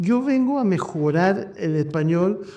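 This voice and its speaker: Over noticeable background noise and audible room echo, a man talks with lively intonation. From New York, US. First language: English (speaking Spanish). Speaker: physician, show host. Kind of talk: casual chat.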